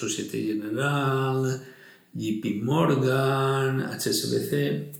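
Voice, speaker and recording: Through audible room echo and noticeable background noise, a man speaks at a medium pitch with ordinary pitch variation. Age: 60s. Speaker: retired fund manager and investment blogger. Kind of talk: interview. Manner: animated.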